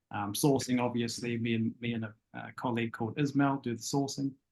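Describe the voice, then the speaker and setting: In a New Zealand accent, a man speaks fairly quickly at a medium pitch. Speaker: property sourcing agent. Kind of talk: casual interview on a live web show. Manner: hesitant, many fillers.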